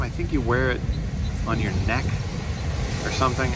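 A man speaks at a moderate pace. The sound is dry with no echo, but loud background noise runs underneath. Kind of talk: casual vlog chat. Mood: frustrated, self-deprecating. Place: beach. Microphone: phone near.

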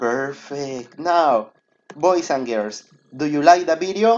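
A man with a Spanish accent speaks at a fairly high pitch in an animated tone. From Peru. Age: 20s. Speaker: primary school English teacher. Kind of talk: online class for children.

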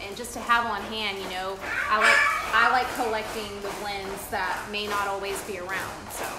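A woman speaks at a medium pitch and moderate pace, with little pitch movement. Audible room echo and clear background noise surround her.

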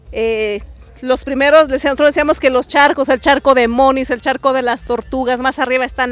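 Faint music plays in the background of a dry recording with no echo. The speaker keeps a moderate pace and fairly even intonation. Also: woman. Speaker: local guide telling family history. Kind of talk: interview answer. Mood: warm, nostalgic. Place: open country. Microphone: handheld.

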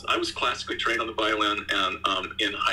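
Fairly quick delivery in an American accent. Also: man. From US. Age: 60s. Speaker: video game composer; interviewee. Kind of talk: interview. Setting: video call. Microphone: video call.

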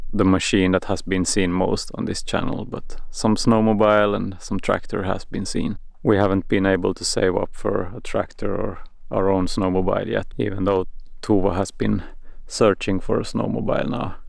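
Against a quiet background, a man talks at a moderate pace. The sound is dry, with no echo. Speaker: off-grid vlogger. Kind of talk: casual vlog chat. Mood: calm, reflective. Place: forest. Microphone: phone near.

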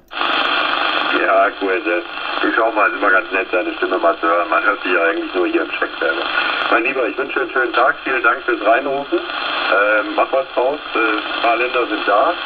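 Noticeable background noise accompanies the clip. A man's speech moves at a moderate pace. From Mönchengladbach, Lower Rhine, Germany. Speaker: CB radio operator. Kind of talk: radio contact exchange. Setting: CB radio transmission.

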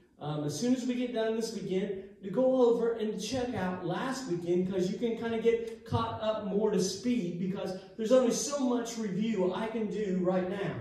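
In strong room echo, a man with a high pitch and ordinary pitch variation speaks at a moderate pace with hardly any pauses. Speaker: pastor teaching. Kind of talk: sermon. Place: church.

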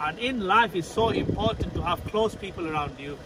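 Noticeable noise in the background accompanies a man talking at a moderate pace with ordinary pitch variation. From Sheffield, England (came from abroad aged five). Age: 40s. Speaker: vlogger. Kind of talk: casual vlog narration. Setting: outdoors and in a car.

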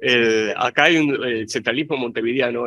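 Bright and sharp in tone, a man at medium pitch talks with ordinary pitch variation. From eastern Uruguay (Rocha). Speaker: university professor. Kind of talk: academic panel presentation. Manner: agitated.

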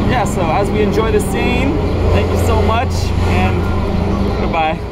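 Loud background noise surrounds a man as he talks. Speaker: vlogger. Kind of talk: casual vlog chat. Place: street. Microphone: phone near.

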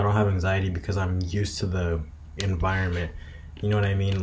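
A man with a fairly low pitch speaks in fairly even intonation, with light background noise behind him. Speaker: vlogger. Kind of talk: casual vlog chat. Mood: relaxed, reflective. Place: home room. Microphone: webcam.

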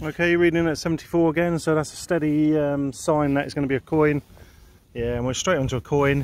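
Talking at a moderate pace, a man shows ordinary pitch variation in a dry sound with no echo. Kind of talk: casual vlog commentary. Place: open country. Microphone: phone near.

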